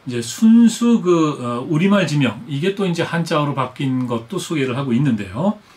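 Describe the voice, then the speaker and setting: A man with a fairly high pitch talks at a fairly slow pace with lively intonation. Noticeable background noise is present. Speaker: TV host and historian. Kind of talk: casual news commentary to camera. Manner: hesitant, many filler sounds.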